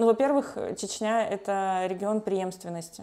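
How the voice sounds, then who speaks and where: A woman's dark, mellow tone over a quiet background. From Russian Far East, Khabarovsk; Russian Far East. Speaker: human rights lawyer. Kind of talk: interview. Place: home room. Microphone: lapel.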